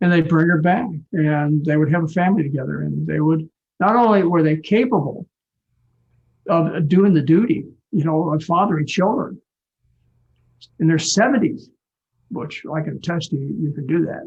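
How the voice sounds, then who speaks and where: A high-pitched man at a moderate pace, with ordinary pitch variation and long, frequent pauses. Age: 70s. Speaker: physician and author. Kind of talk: live online talk Q&A.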